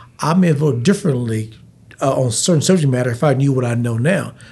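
At a very fast pace, a man speaks with lively intonation in a somewhat breathy voice. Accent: American. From Texas, Abilene. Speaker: city mayor. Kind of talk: casual interview.

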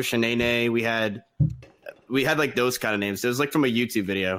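A man speaks at a medium pitch in an ordinary speaking voice with ordinary pitch variation. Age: 20s. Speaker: streamer. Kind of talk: casual chat.

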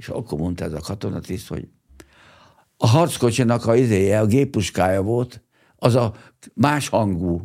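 On a very clean recording with a silent background, a man speaks at a moderate pace with a fairly low pitch, a dark, mellow tone, ordinary pitch variation and long, frequent pauses. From Hungary, Pomáz near Budapest. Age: 80s+. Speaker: 1956 revolution veteran. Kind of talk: testimony. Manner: halting, with many repetitions.

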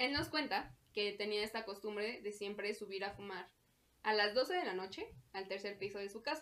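A woman speaks fairly slowly in a fairly high voice. She talks with a Mexican accent. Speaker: podcast co-host. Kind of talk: casual chat. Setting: lights off.

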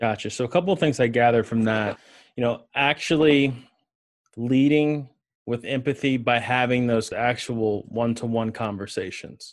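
Over a quiet background, a man talks at a moderate pace in a plain, everyday voice. His pitch is medium, with ordinary pitch variation. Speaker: podcast host. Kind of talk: interview.

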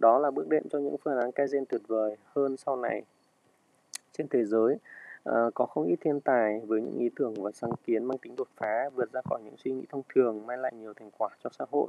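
At a fairly quick pace, a man talks in a medium pitch with ordinary pitch variation and big swings in loudness. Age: 30s. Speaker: restaurant owner. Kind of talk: personal reflection and book reading. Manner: halting.

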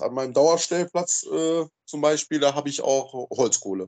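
The man's voice sits at a fairly high pitch and has a dark, mellow tone. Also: quiet background. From Rhineland-Palatinate, Germany. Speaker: camping group organizer. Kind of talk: casual chat. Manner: halting, repeats words.

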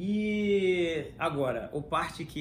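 A man speaks with lively intonation. There is audible room echo. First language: English (speaking Portuguese). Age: 30s. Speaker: podcast host. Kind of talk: casual chat.

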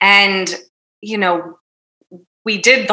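With a New Jersey accent, a woman speaks fairly slowly at a medium pitch. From North Jersey, US. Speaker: happiness coach. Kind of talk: casual interview.

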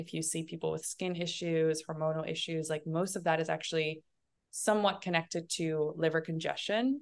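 A woman's normal speaking voice, fairly low in pitch with fairly even intonation, at a fairly quick pace over a quiet background. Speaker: holistic detox coach. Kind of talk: casual interview chat.

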